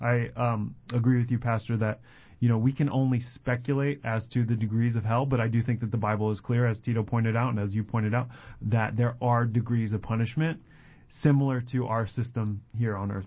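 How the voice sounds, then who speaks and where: In an American accent, a man speaks at a fairly quick pace. His voice is somewhat breathy with monotone, flat intonation. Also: medium pitch for a man. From Colorado, US. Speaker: church ministry assistant and radio co-host. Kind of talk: radio Bible Q&A conversation.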